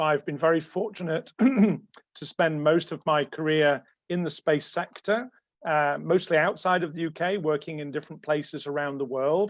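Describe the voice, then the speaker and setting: Against a quiet background, a man speaks with an English accent. His fairly high voice moves at a fairly slow pace with ordinary pitch variation. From England. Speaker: space engineer. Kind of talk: lecture.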